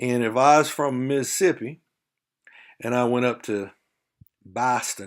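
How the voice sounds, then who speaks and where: In a Southern US accent, the speaker talks at a fairly slow pace with ordinary pitch variation on a very clean recording with a silent background. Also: man. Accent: faint Southern drawl, by own account. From Texas. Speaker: university lecturer. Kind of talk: lecture. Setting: recorded video lesson. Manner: conversational, with frequent fillers.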